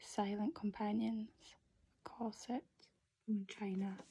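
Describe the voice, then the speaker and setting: A soft-spoken woman with a fairly high pitch at a very slow pace. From Scotland. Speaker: ASMR YouTuber. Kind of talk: ASMR book haul, casual talk to camera. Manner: soft-spoken, relaxing.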